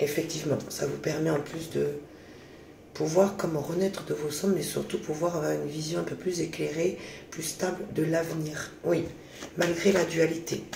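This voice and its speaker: Against noticeable background noise and audible room echo, a man with a fairly high pitch talks at a moderate pace in a monotone, flat intonation. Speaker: tarot card reader. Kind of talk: psychic reading. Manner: soft-spoken.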